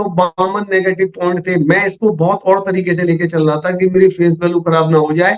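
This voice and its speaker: A man speaks in a high pitch. His tone is animated. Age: 60s. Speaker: network marketing leader. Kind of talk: business presentation. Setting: video call.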